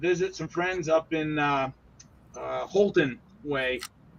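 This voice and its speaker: Talking in a Maine accent, a man has a fairly high pitch with ordinary variation. His pace is fairly slow. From Maine (Oakland/Waterville area). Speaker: scale model builder. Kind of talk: casual chat.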